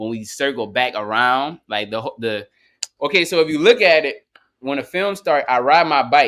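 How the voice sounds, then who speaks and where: A man's medium-pitched voice at a moderate pace, with ordinary pitch variation and a New Orleans accent. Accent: New Orleans accent, noticeable. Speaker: rapper. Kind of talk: casual interview.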